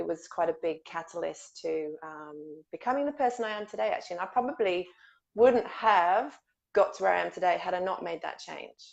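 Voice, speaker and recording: A woman with an English accent talks at a fairly quick pace and medium pitch, with lively intonation and vocal fry. Her loudness swings widely against a quiet background. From England. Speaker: guest expert on childhood trauma. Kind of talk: interview.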